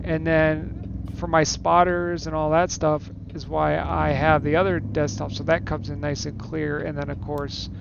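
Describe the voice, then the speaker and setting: Mumbling at a moderate pace with hardly any pauses, a man with a fairly low pitch makes very wide pitch swings amid audible room echo and noticeable background noise. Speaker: gaming streamer. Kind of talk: casual chat. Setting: live stream. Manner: soft-spoken.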